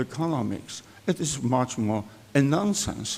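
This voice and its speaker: A man with a Polish accent. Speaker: economist, author. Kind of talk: conference speech.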